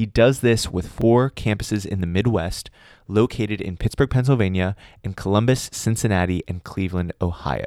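This is a normal speaking voice at a moderate pace with ordinary pitch variation, recorded dry and close with no echo in a very clean recording with a silent background. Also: man, fairly low pitch for a man. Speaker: podcast host reading intro and outro. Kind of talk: scripted intro and outro narration.

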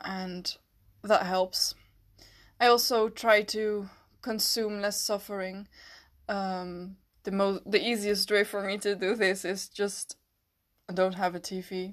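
A woman's medium-pitched voice with a Dutch accent, flat and monotone, at a very slow pace with long, frequent pauses, against a quiet background. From Netherlands. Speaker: podcast host. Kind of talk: personal reflective monologue. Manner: hesitant, many fillers.

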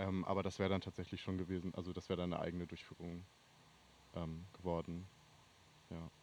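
A man talks very fast in a very deep, low pitch with a monotone, flat intonation, broken by long, frequent pauses. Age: 20s. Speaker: student and festival booker. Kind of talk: casual chat.

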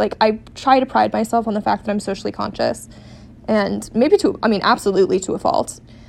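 Noticeable background noise sits behind a woman talking at a fairly quick pace with an American accent. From US West Coast, San Diego. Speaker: podcast co-host. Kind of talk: casual solo monologue.

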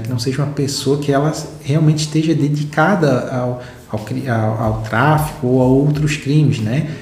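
Noticeable background noise and audible room echo fill the recording. A man speaks at a moderate pace with ordinary pitch variation. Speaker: legal educator explaining case law. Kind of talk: legal explainer video. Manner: halting, many repetitions and fillers.

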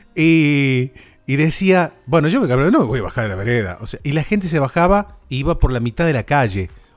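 Moderately paced, the man speaks in an unremarkable speaking voice set at a fairly high pitch. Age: 30s. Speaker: podcast host. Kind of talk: casual chat.

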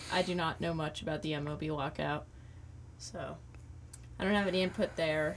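A woman with an American accent speaks at a very deep, low pitch with vocal fry. Her intonation is fairly even and her pace moderate. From Brick, Jersey Shore, New Jersey. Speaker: student radio producer. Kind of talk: casual chat.

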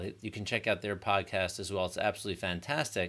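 A man talks very fast in a fairly low register with a bright, sharp tone, on a very clean recording with a silent background. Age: 40s. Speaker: chiropractor and podcast host. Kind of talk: solo podcast talk.

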